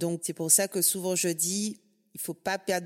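An ordinary speaking voice from a woman, fairly low in pitch, at a fairly slow pace, on a very clean recording with a silent background. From Guadeloupe. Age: 40s. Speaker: podcast host, financial advisor. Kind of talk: casual interview conversation.

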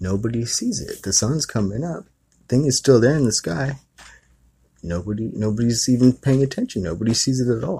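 Somewhat breathy and relaxed in tone, a man speaks at a medium pitch and fairly quick pace in a dark, mellow tone with lively intonation. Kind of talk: retelling a family story in casual storytelling. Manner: conversational, rambling, relaxed with filler words and laughs.

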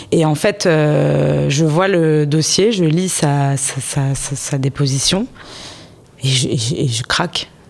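A woman with a very deep, low pitch, ordinary pitch variation and a very slow pace, over noticeable background noise. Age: 30s. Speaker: business owner in construction. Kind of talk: interview. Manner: halting.

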